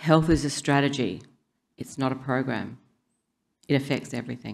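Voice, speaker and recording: In an Australian accent, a woman with a very deep, low pitch speaks at a fairly quick pace. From South Australia. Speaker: public health scientist. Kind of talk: conference talk. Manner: fast.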